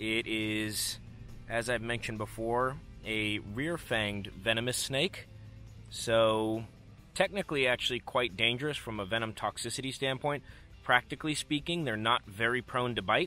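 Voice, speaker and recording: With faint music behind him, a man speaks at a moderate pace with ordinary pitch variation in a dry sound with no echo. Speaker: snake-finding vlogger. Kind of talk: casual vlog chat. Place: forest. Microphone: phone near.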